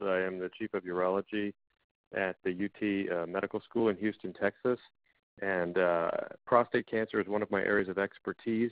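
A man with a plain, everyday voice, fairly low in pitch, at a fairly quick pace, in a dry sound with no echo and a quiet background. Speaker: presenter. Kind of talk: lecture. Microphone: video call.

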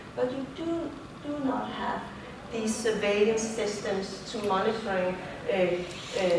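A woman at a moderate pace, with strong room echo and noticeable background noise. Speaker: invited lecturer. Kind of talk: lecture. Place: hall. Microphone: camera far.

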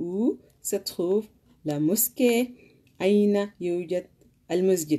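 A woman's dark, mellow tone, very slow with long, frequent pauses and ordinary pitch variation, quiet background. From Sudan. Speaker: language teacher. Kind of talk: language lesson. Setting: live stream. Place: home room. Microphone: phone near.

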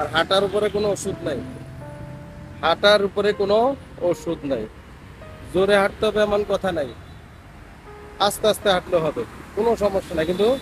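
A man's high voice with ordinary pitch variation, dry with no echo, over music in the background. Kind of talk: casual vlog chat. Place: street. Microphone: phone near.

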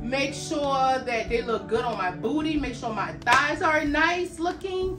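A woman's raised, projected voice with lively intonation over noticeable background noise. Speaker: fitness apparel reviewer. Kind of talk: casual vlog chat. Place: home room.

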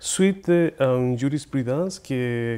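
In a Spanish accent, the voice has a dark, mellow tone and ordinary pitch variation. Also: man. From Chile. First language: Spanish (speaking French). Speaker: poet and author; guest, lecturer. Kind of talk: interview. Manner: halting, many hesitations. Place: studio. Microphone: lapel.

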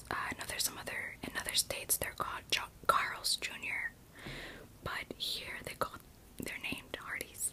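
Whispering, a woman speaks with long, frequent pauses. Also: moderate pace. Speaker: eating-show creator. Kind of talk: casual mukbang talk to camera. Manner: whispered. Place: home room.

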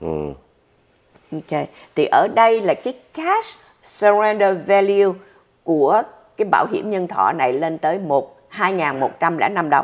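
A woman speaks at a very slow pace with lively intonation and long, frequent pauses. The background is quiet. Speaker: social security advisor. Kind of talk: explanatory Q&A answers. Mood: warm, patient. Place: office.

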